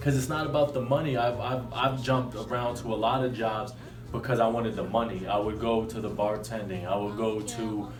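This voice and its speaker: A man with an American accent, medium pitch and fairly even intonation, fairly quick, with audible room echo and music in the background. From Connecticut, New Haven. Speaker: rapper. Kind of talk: casual chat.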